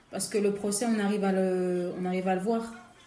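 A woman's monotone, flat delivery at a fairly quick pace, with audible room echo. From DR Congo, Kinshasa. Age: 20s. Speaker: illustrator and graphic designer. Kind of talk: casual chat.

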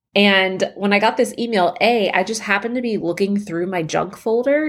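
A woman speaks at a fairly quick pace in an unremarkable speaking voice with a medium pitch. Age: 30s. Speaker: podcast host, mother of children with rare disease. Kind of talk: casual personal monologue. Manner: casual, filler-heavy.

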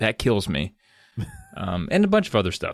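With an American accent and vocal fry, a man speaks at a fairly quick pace in a playful tone, his pitch swinging very widely. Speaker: podcast co-host. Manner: joking, playful.

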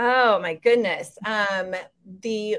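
With an American accent, a woman talks at a medium pitch. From Denver, Colorado, US. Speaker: nurse and health coach. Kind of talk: casual interview. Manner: hesitant, many fillers.

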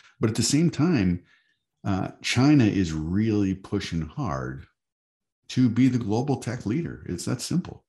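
A man with an American accent, dark and mellow in tone, fairly low-pitched and somewhat breathy, at a fairly slow pace with very wide pitch swings. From Michigan. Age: 50s. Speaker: advocacy group executive. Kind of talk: interview.

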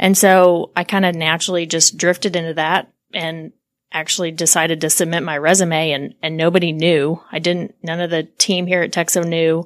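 A woman's fairly low voice, monotone and flat, at a moderate pace in a very clean recording with a silent background. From Oklahoma, US. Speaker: construction association executive. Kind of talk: interview conversation.

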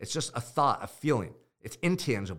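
A man with a Californian accent, vocal fry, an animated tone and very wide pitch swings, on a very clean recording with a silent background. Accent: Californian American. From US West Coast, Goleta, California. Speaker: podcast host and motivational coach. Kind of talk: motivational monologue.

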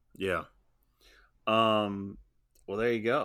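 Here a man with an unremarkable speaking voice talks fairly slowly at a fairly low pitch, on a very clean recording with a silent background. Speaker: podcast host. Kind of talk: casual banter about golf. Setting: podcast recording. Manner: joking, teasing.

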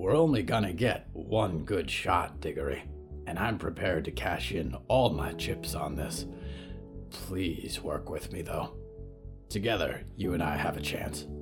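With clear music in the background, a man does a put-on character voice, very deep and low, at a moderate pace. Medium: read story. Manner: folksy, casual.

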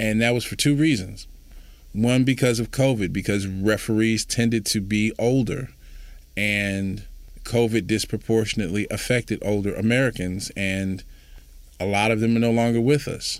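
Recorded very cleanly against a silent background, a man in an unremarkable speaking voice speaks at a moderate pace and medium pitch, with fairly even intonation. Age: 40s. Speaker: youth sports nonprofit director, former teacher and coach. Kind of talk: interview.

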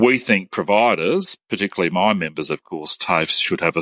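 In an Australian accent, a man talks at a fairly quick pace. The sound is dry and close, with no echo. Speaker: TAFE sector head. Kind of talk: interview. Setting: phone call.

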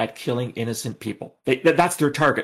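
A man with a Canadian accent uses a normal speaking voice, talking at a fairly quick pace with lively intonation. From Canada. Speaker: former intelligence officer. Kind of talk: casual interview.

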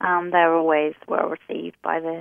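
This is a woman with an Australian accent. She talks at a moderate pace. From Tasmania, Australia. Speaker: small business owner, craft maker. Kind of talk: casual interview.

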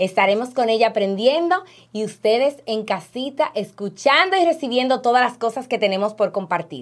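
A woman's unremarkable speaking voice, fairly high and lively in intonation, at a moderate pace, on a very clean recording with a silent background. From Dominican Republic. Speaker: podcast host, insurance agent. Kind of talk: interview.

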